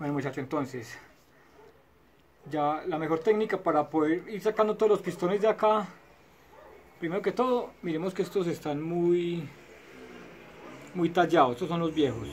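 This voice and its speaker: A man with a high pitch and ordinary pitch variation speaks at a moderate pace. He takes long, frequent pauses, with light background noise. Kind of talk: tutorial. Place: garage. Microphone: phone near.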